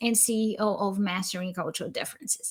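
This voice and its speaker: A woman with a Brazilian accent is heard on a very clean recording with a silent background. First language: Portuguese. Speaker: cross-cultural consultant. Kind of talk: live stream interview. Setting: LinkedIn live stream.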